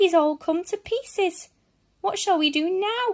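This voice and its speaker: Putting on a character voice, a woman speaks fairly slowly in a squeaky, extremely high pitch. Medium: read story.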